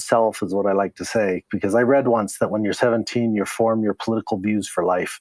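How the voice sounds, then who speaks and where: With a General American accent, a man speaks in an unremarkable speaking voice at a fairly quick pace, medium pitch and ordinary pitch variation against a quiet background. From Colorado, Denver. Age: 60s. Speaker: zero waste advocate. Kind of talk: interview.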